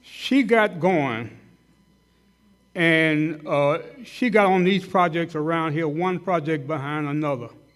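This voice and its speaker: Long, frequent pauses break up very slow speech with ordinary pitch variation, and audible room echo surrounds the voice. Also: man, fairly high pitch for a man. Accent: American. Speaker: dentist speaking at a hall of fame banquet. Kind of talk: tribute speech. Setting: banquet hall with audience. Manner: loud; halting, many fillers.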